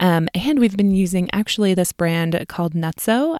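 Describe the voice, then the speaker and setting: A woman with a Midwestern US accent speaks at a fairly low pitch in a very clean recording with a silent background and a dry, close sound with no echo. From US Midwest. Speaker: registered dietitian and podcast host. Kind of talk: educational podcast monologue, casual. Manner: friendly, conversational, with fillers.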